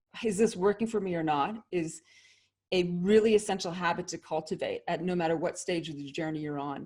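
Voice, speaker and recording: In a very clean recording with a silent background, a woman with a Canadian accent and a plain, everyday voice talks at a moderate pace and medium pitch with ordinary pitch variation. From Canada. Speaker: leadership consultant and author. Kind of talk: interview.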